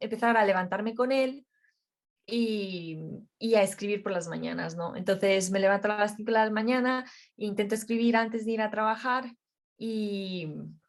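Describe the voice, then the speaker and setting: A fairly high-pitched woman's voice with a Romanian accent and fairly even intonation. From Romania, then Madrid, Spain from age 11. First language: Romanian (speaking Spanish). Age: young. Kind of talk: interview. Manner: halting.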